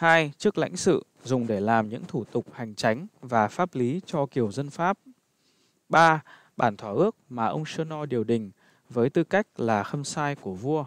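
With an unremarkable speaking voice at a medium pitch, a man talks with lively intonation against a quiet background. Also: fairly slow pace. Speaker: narrator reading a history book. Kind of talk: reading aloud. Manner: formal.

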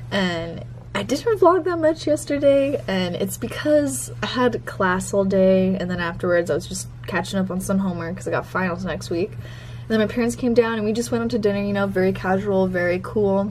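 A woman at a fairly quick pace over light background noise. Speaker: vlogger. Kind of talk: casual vlog chat. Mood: excited, upbeat. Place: home room. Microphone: phone near.

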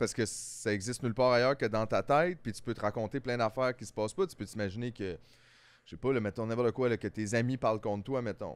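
A man with a Quebec accent speaks at a very fast pace with ordinary pitch variation. The sound is dry, with no echo. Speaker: comedian podcast co-host. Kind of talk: casual chat. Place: studio. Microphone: studio mic.

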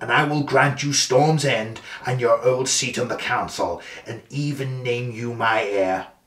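In this clip, a natural reading voice is used.

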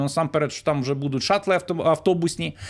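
A man speaks at a fairly quick pace, his pitch fairly high. He has an unremarkable speaking voice with fairly even intonation. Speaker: news commentator. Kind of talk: solo news commentary. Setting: recorded video.

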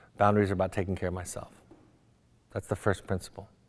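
A man is speaking. He has an American accent. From US West, Orange County, California; California. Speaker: psychotherapist; guest. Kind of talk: lecture. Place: hall. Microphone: lapel.

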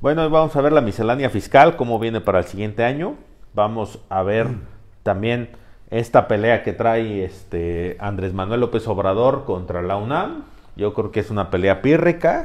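A man speaks in a plain, everyday voice at a medium pitch, with lively intonation. His pace is moderate and the background is quiet. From Mexico. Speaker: political commentator. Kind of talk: casual political debate. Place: studio.

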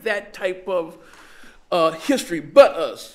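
The voice swings very widely in pitch against a quiet background. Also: man. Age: 70s. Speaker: reparations activist. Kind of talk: panel discussion. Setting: stage with audience. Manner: animated; rhetorical, frequent 'right?' tags. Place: meeting room. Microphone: podium.

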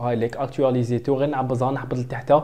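Fairly quick in pace, a man talks with a dark, mellow tone. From Algeria. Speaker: software tutor. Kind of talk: tutorial.

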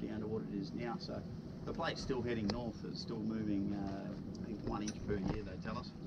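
A man keeps a moderate pace against loud background noise. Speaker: boat tour guide. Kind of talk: guided tour commentary. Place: boat. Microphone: camera far.

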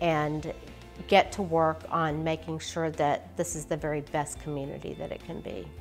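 A woman's very deep, low voice at a fairly slow pace, with fairly even intonation and faint music in the background. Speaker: candidate. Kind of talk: interview answer. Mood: earnest, supportive. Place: home room.

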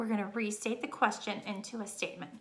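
A woman is heard against a quiet background. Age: 30s. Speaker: teacher. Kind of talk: reading lesson for pupils. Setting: recorded video lesson. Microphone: webcam.

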